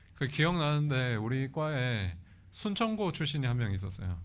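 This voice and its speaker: Audible room echo surrounds a voice with lively intonation at a fairly slow pace. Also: man. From South Korea, Pohang (Gyeongsang). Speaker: guest preacher, seminary professor. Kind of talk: sermon. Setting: church.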